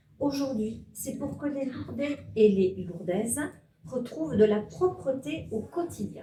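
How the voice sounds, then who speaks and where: Very slow, lively speech from a woman with a fairly high pitch, plus audible room echo. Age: 60s. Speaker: municipal election candidate. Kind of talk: candidate self-introduction speech.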